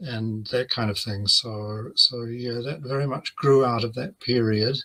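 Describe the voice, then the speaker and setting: A man's bright, sharp voice at a very slow pace with fairly even intonation, on a very clean recording with a silent background. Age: 70s. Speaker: religious studies professor. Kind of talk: interview. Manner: halting.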